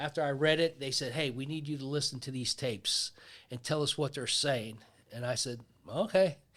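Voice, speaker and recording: A man with a Pittsburgh accent speaks at a moderate pace in a fairly high pitch, his pitch varying in an ordinary way, on a very clean recording with a silent background. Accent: Pittsburgh American English. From US Northeast, Pittsburgh. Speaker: retired law enforcement officer. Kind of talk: storytelling in casual interview.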